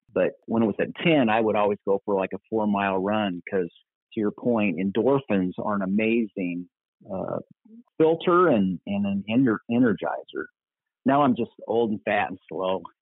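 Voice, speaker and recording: In an American accent, a man talks in a normal speaking voice, fairly low in pitch, with ordinary pitch variation and a moderate pace. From US Midwest (Kansas, Minnesota). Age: 60s. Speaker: pastor. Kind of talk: casual chat.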